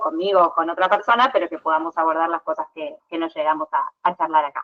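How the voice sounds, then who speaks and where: This woman speaks in a fairly low pitch. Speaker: public defender lawyer. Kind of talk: lecture. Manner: fast; halting.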